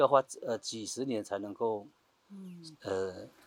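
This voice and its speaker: A man at medium pitch talks at a fairly slow pace, recorded with a dry, close sound and no echo. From Taiwan, Bunun village; raised in Liugui. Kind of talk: interview. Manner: hesitant with many fillers.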